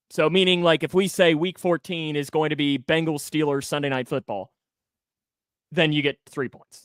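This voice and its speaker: With a slight Kentucky accent, a man speaks in a dry, close sound with no echo, on a very clean recording with a silent background. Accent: slight rural Kentucky country. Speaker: sports podcast host. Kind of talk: casual chat.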